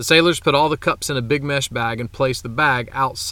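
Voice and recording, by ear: The pitch rises and falls in an ordinary way. Here someone reads aloud in a natural voice.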